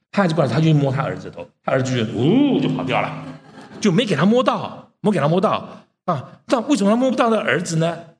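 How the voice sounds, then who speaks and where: A man's high-pitched voice with very wide pitch swings at a fairly quick pace, with audible room echo. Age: 60s. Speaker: preacher. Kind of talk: sermon.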